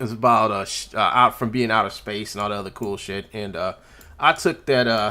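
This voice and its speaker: Talking at a fairly quick pace with ordinary pitch variation, a man has a bright, sharp tone in a very clean recording with a silent background. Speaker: livestreamer and 3D animator. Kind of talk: casual livestream chat. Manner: halting, many repetitions.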